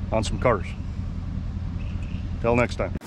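Noticeable background noise accompanies a man speaking at a moderate pace, the sound dry with no echo. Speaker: garage owner vlogger. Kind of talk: casual vlog chat. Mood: joking, relaxed. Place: waterside. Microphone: lapel.

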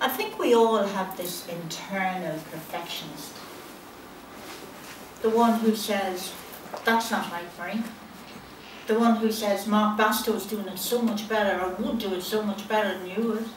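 Fairly slow speech broken by long, frequent pauses, with audible room echo and light background noise. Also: woman. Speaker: life coach. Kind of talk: prepared speech. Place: hall. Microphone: camera far.

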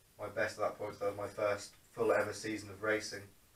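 A man talks at a fairly quick pace, his fairly low pitch carrying a fairly bright tone. Room echo can be heard.

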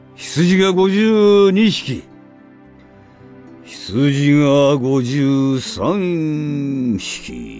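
Over music in the background, a man speaks at a very slow pace with a fairly high pitch and lively intonation. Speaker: voice actor. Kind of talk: counting sheep for sleep. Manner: slow, counting.

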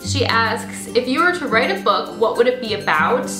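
Clear music behind a female speaker at a moderate pace. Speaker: beauty vlogger. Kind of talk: casual vlog chat. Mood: cheerful, relaxed. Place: home room.

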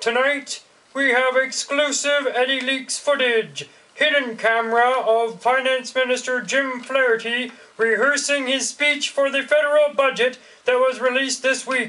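The speech comes at a fairly slow pace in a raised, projected voice. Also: man. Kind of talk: mock news anchor delivery.

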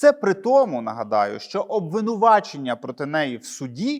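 Very wide pitch swings from a man, with a quiet background. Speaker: journalist video blogger. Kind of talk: solo commentary monologue. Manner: sarcastic.

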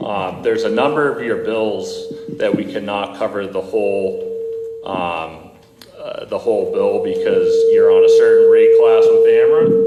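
A man talks at a fairly slow pace. Audible room echo and noticeable background noise surround his voice. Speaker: solar energy company representative. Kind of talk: presentation to city council. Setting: city council meeting. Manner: halting; loud.

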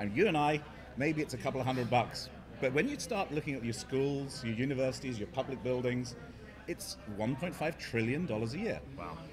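A man at a moderate pace with lively intonation, over noticeable background noise. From England. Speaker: startup CEO. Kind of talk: interview. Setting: conference floor with background noise. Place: hall.

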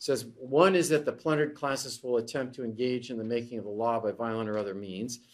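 In a quiet background, a man talks at a fairly quick pace with ordinary pitch variation. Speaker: economics lecturer. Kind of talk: lecture. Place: classroom.

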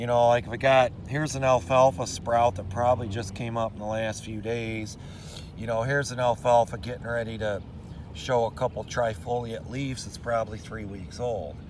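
At a moderate pace, a man speaks in a dry, echo-free recording with light background noise. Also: fairly even intonation. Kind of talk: casual explanatory farm vlog. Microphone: phone near.

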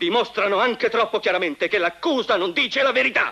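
Speaking at a fairly quick pace, a man makes very wide pitch swings. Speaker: defense lawyer in film courtroom scene. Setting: tribunal courtroom scene from a film. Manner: formal, forceful, indignant, rhetorical; emphatic, repeating words for effect.

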